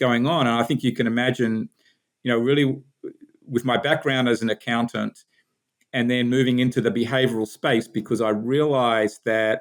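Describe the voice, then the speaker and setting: Keeping a very even loudness, a man with an Australian accent speaks at a moderate pace in a monotone, flat intonation. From Australia, Sydney. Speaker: business founder and executive. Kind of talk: podcast interview.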